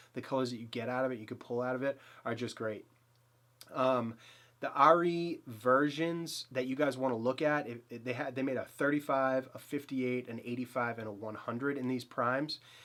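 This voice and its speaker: Speaking at a fairly quick pace, a man with a Boston accent uses a medium pitch. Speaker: photography YouTuber. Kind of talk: gear review. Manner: casual, filler-heavy; enthusiastic.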